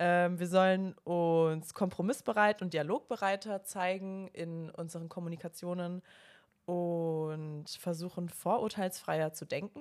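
A woman's normal speaking voice, fairly low in pitch, fairly slow and fairly even in intonation, on a very clean recording with a silent background. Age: 20s. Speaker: spirituality podcast co-host. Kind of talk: casual chat.

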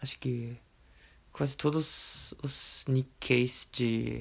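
Somewhat breathy and very slow, a man of medium pitch speaks in a monotone, flat intonation. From Japan, Okayama. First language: Japanese (speaking Portuguese). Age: 20s. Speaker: teacher. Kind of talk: casual interview. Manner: halting.

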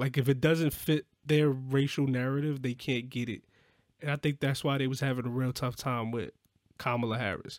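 In a very clean recording with a silent background and a dry, close sound with no echo, a man with an American accent speaks in a fairly high pitch with ordinary pitch variation and an unremarkable speaking voice. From New York. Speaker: podcast co-host and musician. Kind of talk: casual chat.

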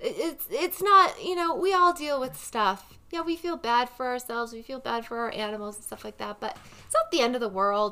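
A woman with a high, raised, projected voice talks at a moderate pace with hardly any pauses, very wide pitch swings and big swings in loudness. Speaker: podcast co-host. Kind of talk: casual chat. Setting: studio with headphones and mic. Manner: casual, laughing.

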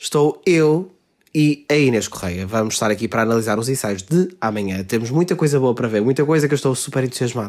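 Lively intonation at a very fast pace. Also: man, medium pitch for a man. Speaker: podcast host. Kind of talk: casual chat.

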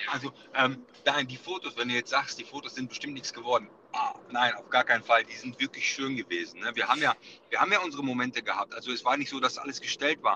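Delivered at a very fast pace, the speech sounds dry and close with no echo, though noticeable background noise is present. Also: man, medium pitch for a man, ordinary pitch variation, big swings in loudness. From Ruhr area, Germany. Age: 30s. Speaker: wedding photographer. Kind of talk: casual chat. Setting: phone call from car.

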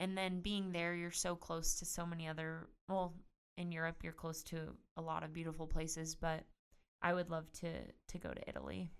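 Speaking at a moderate pace with an American accent, a woman uses a fairly low pitch and monotone, flat intonation. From California, San Luis Obispo. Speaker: professional tennis player and assistant coach. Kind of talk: casual interview chat.

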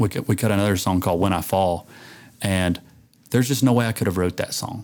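Speaking fairly quickly, a man has an unremarkable speaking voice with a fairly low pitch and fairly even intonation. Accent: American. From rural southern Illinois. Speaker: country singer. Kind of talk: casual interview.

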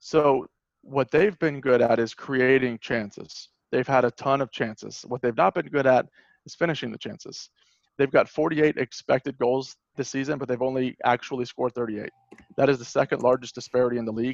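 At a moderate pace, a man talks in a normal speaking voice of medium pitch with fairly even intonation, and the sound is dry and close with no echo. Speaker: podcast co-host and football fan. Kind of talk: casual chat.

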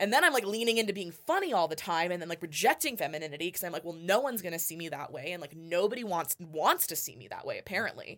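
This woman talks very fast with an American accent. Her intonation is lively, and her loudness swings widely. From US West Coast, Los Angeles area. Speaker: singer and vocal coach. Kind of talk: casual interview chat. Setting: studio. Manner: fast talker; loud, excitable.

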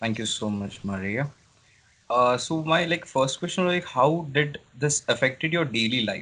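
Lively intonation marks this man's fairly high voice. His tone is bright and sharp, and his pace is moderate. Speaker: interviewer. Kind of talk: interview. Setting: video call.

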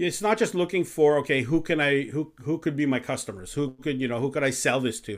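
The man has an unremarkable speaking voice, fairly high in pitch with lively intonation. He talks at a moderate pace on a very clean recording with a silent background. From Canada. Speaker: business coach, retired pastor. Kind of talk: casual interview.

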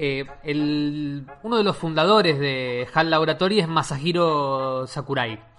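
Over noticeable background noise, a man speaks with a Rioplatense accent at a fairly high pitch. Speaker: podcast host. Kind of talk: casual chat.

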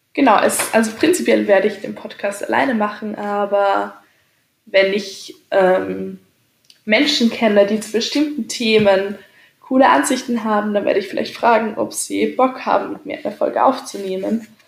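At a moderate pace, a woman with a fairly high pitch and vocal fry speaks with ordinary pitch variation. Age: 20s. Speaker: podcaster. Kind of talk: casual monologue. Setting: home, on a couch.

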